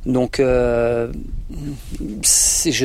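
A man's voice in a dry, close sound with no echo. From France, Isère. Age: 40s. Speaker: horse dealer and show jumping rider. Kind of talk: podcast interview. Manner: hesitant, many fillers and repetitions.

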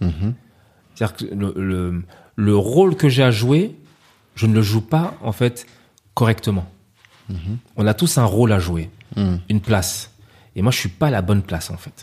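Fairly low in pitch, a man speaks with a dark, mellow tone that is somewhat breathy. His pace is fairly slow with lively intonation and long, frequent pauses. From Paris, France (Ivorian parents). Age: 30s. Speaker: chef. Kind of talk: casual interview.

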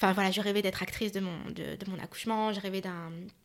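A woman talks in a plain, everyday voice at a medium pitch. Her intonation is fairly even. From Paris region. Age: 30s. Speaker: film director and activist. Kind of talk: casual chat.

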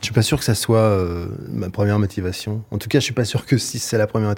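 In an ordinary speaking voice, a man talks at a fairly quick pace with a fairly low pitch. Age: 50s. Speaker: novelist. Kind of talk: interview. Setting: studio.

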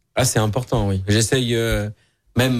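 An unremarkable speaking voice with fairly even intonation, on a very clean recording with a silent background. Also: man. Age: young. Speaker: chef. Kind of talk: radio interview. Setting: studio.

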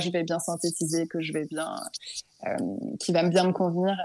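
A woman's fairly low-pitched voice in a monotone, flat intonation. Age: 20s. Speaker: work psychologist. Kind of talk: testimony.

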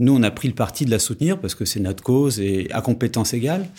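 The recording is very clean with a silent background. A man talks in a dark, mellow tone at a medium pitch. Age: 40s. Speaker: founder of a management consulting firm. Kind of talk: interview. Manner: halting, with frequent hesitations and repetitions.

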